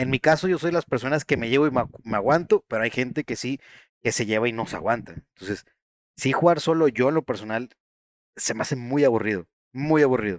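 A man's medium-pitched voice with a Mexican accent, ordinary pitch variation and a fairly quick pace, in a dry, close, very clean recording with no echo and a silent background. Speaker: gaming podcast host. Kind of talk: casual chat.

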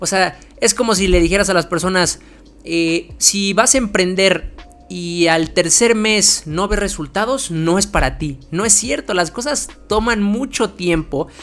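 Speaking in a Mexican accent at a fairly slow pace, the voice comes through over noticeable background noise. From Mexico. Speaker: marketing podcast host, agency owner. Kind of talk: solo monologue podcast. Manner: casual with many fillers (eh, este).

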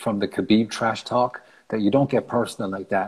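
With a Cork accent, a man speaks in a fairly low pitch with fairly even intonation. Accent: Cork Irish. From Ireland, Cork. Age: 30s. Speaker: martial artist. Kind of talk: casual chat.

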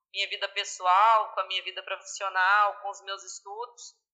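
The speaker talks at a moderate pace. It is a normal speaking voice. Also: woman. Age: 20s. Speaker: finance manager at an agricultural cooperative. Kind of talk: casual interview.

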